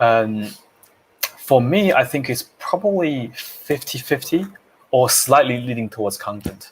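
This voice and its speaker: A fairly slow pace and lively intonation in a non-native accent. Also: man, medium pitch for a man. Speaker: public speaking coach, co-host. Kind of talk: casual live Q&A discussion. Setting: Facebook live video stream.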